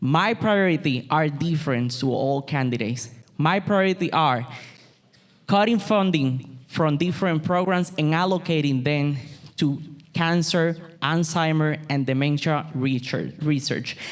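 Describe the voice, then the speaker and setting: The speaker talks at a fairly slow pace with a Puerto Rican accent. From Puerto Rico. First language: Spanish. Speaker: political candidate, city employee. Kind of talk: campaign speech. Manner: halting.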